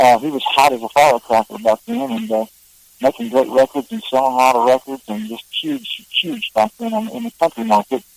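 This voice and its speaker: A man talks at a fairly quick pace in a medium pitch, with lively intonation and big swings in loudness. The sound is dry and close, with no echo. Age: 60s. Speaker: songwriter and singer. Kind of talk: interview. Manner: halting.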